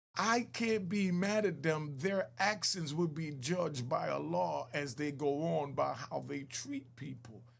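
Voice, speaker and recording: A man's fairly high, somewhat breathy voice, fairly slow yet with hardly any pauses, and lively intonation. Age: 60s. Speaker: former club owner and ex-prisoner. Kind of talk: video reaction commentary.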